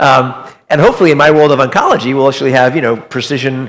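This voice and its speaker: A man speaks at a medium pitch with ordinary pitch variation. His pace is very fast. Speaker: physician-scientist keynote speaker. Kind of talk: keynote talk.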